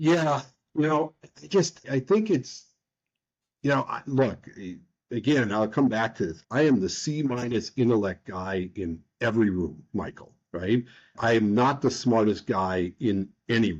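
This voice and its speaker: Lively intonation in an American accent, at a fairly slow pace. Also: man, medium pitch for a man. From United States. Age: 60s. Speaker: nonprofit leader and author. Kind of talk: podcast interview. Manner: animated.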